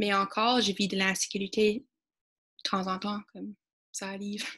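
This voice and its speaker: A woman talks at a fairly slow pace with an English accent. Her intonation stays fairly even. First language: English (speaking French). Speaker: student. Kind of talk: panel discussion.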